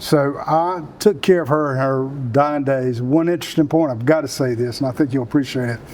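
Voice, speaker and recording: Over noticeable background noise, a man with a South Carolina accent speaks at a fairly quick pace with hardly any pauses, his fairly high pitch showing ordinary variation. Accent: Southern US (South Carolina). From US South. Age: 60s. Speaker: Marine veteran and economic development leader. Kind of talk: interview.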